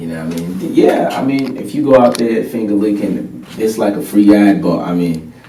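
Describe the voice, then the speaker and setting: A man with a fairly low voice speaks at a moderate pace, his pitch swinging very widely. He hardly pauses at all, and there is noticeable background noise. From Nigeria, south, Ijaw people. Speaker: musician. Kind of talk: casual interview chat.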